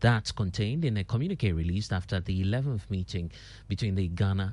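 Against a quiet background, a man with a very deep, low pitch and a dark, mellow tone speaks with ordinary pitch variation, somewhat breathy. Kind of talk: newsreading. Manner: formal, steady broadcast delivery; brisk, measured headline pacing.

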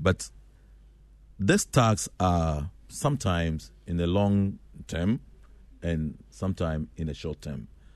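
Very slowly and with long, frequent pauses, a man speaks at a very deep, low pitch with very wide pitch swings against a quiet background. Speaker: facility management association president. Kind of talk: radio interview. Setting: radio studio. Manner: halting.

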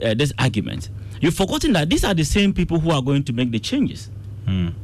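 Vocal fry creeps into a man's speech as his pitch swings very widely. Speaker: political science analyst. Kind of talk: radio panel debate.

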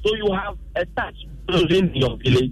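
Noticeable background noise sits behind a man's voice. He speaks at a high pitch with lively intonation. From Ghana, Volta region. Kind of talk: phone-in comment.

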